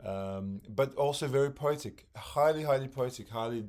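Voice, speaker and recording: Speaking with a non-native accent, the man keeps a fairly slow pace. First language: not English. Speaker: music podcaster, former teacher. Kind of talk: casual monologue about records. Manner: halting, many fillers.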